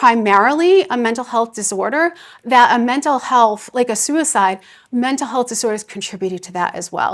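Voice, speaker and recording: With an American accent, a woman talks in a high voice full of lively intonation. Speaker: psychiatry professor and researcher. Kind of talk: keynote lecture. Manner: fast.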